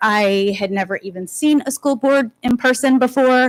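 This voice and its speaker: A woman's voice with ordinary pitch variation, dry and close with no echo. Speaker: parent public commenter. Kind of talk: public comment speech. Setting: school board meeting. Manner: loud.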